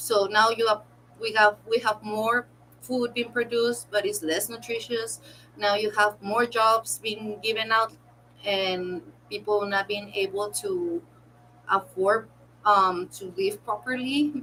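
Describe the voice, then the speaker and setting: Fairly slow speech from a woman with a non-native accent, pitched fairly high. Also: ordinary pitch variation. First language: not English. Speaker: content creator reacting to videos. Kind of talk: casual commentary while crafting. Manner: halting.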